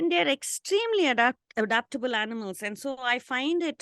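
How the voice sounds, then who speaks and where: Recorded dry and close with no echo, a woman's bright, sharp tone carries ordinary pitch variation over a quiet background. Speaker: canine behaviour consultant. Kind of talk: interview conversation.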